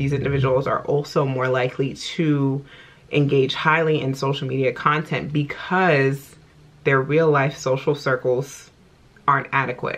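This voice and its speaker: A woman talks at a moderate pace with a very deep, low pitch. Her intonation is monotone and flat. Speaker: self-help video blogger. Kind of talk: casual talk to camera, self-help monologue.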